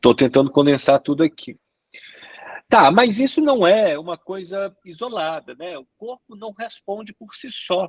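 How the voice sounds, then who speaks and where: A high-pitched man at a fairly slow pace, with very wide pitch swings, in a dry, close sound with no echo. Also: big swings in loudness. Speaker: sexologist lecturer. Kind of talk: lecture.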